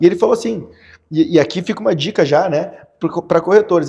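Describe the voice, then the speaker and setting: Against a quiet background, a man with a Gaúcho Brazilian accent speaks very fast in a high pitch with a dark, mellow tone. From Porto Alegre, southern Brazil. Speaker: real estate financing specialist. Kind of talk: podcast interview answer.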